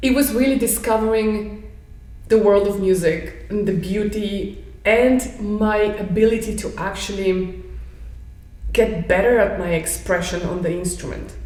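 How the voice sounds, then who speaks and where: With a Bulgarian accent, the speaker goes at a fairly slow pace and fairly even intonation, amid noticeable background noise and audible room echo. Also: woman, medium pitch for a woman. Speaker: pianist and piano professor. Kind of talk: interview.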